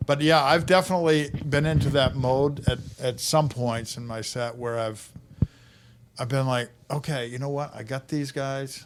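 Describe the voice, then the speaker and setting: Keeping his intonation fairly even, a man with a medium pitch talks at a moderate pace. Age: 60s. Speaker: stand-up comedian. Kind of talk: casual chat. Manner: halting, repetitive restarts.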